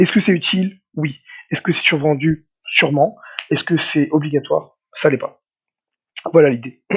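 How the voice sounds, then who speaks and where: This man has a fairly high pitch, ordinary pitch variation and a moderate pace, with big swings in loudness and long, frequent pauses. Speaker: nutritionist. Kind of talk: podcast interview, casual chat. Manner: hesitant, many repeated words; energetic, hyperactive.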